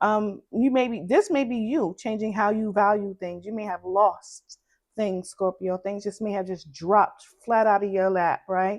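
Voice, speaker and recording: A woman with a Brooklyn accent, medium pitch, fairly even intonation and a fairly slow pace. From Brooklyn, New York. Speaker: tarot reader. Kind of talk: tarot reading.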